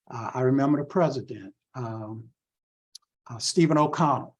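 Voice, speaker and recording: A somewhat breathy man with an American accent. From US South, Waycross, Georgia. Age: 70s. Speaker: civil rights organization president, Vietnam veteran. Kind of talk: talk. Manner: halting.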